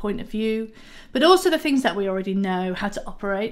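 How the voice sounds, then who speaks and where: The speaker is a woman with a Yorkshire accent. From Yorkshire, northern England. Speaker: software developer advocate; conference speaker. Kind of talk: pre-recorded conference talk. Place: home room.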